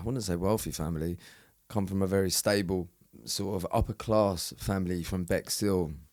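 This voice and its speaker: At a moderate pace, a man speaks with a very deep, low pitch and ordinary pitch variation in a very clean recording with a silent background. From south-east England, Eastbourne, East Sussex. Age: 40s. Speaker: former prisoner and bare knuckle fighter. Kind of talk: podcast interview, casual personal storytelling. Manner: halting, many fillers and repeated words.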